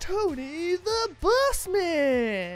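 The voice is a put-on character voice at an extremely high pitch. Clear music plays in the background.

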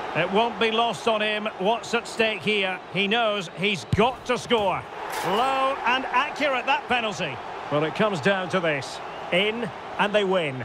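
A man with a high pitch uses a raised, projected voice and an animated tone. He speaks at a fairly slow pace over noticeable background noise. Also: ordinary pitch variation, very even loudness. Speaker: football commentator. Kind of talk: live sports commentary. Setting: video game broadcast with in-game commentary. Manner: animated, building tension with rising excitement on key moments.

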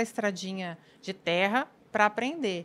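Lively intonation runs through this woman's speech. Her voice sits at a medium pitch. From interior of São Paulo state (Bauru); São Paulo, Brazil. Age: 40s. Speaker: police chief; guest. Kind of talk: casual chat. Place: studio. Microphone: studio mic.

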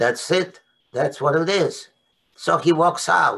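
Speaking at a very slow pace, a man uses a bright, sharp tone at a fairly high pitch. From Poland. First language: Polish. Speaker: Holocaust survivor. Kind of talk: testimony. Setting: video call. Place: home room. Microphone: webcam.

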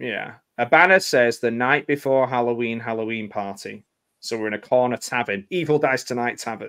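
Quiet background and plain reading aloud

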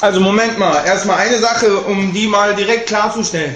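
The delivery is animated, with audible room echo. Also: man. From Germany, Cologne; Germany. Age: 20s. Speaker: rapper. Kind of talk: video statement; direct-to-camera statement. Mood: defensive, indignant. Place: home room. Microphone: webcam.

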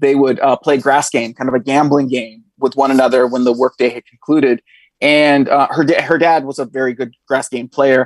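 Flat and monotone, a man speaks at a moderate pace. The sound is dry with no echo, and the background is quiet. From northern California. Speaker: history professor. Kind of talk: interview. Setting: video call. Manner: halting, many fillers. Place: home room. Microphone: earbuds.

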